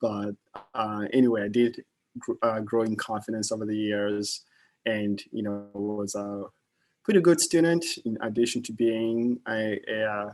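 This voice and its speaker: A man with a slight Kenyan accent speaks at a fairly slow pace, with a fairly low pitch and fairly even intonation. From Kenya, Nairobi. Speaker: investment manager. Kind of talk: guest talk to students. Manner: halting, many fillers.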